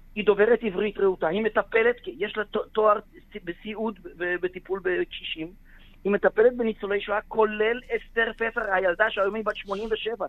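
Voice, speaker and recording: A man's high-pitched voice holds a fairly even intonation as he speaks. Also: moderate pace. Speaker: lawyer. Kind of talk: radio interview. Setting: phone call. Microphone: bad connection, dropping out.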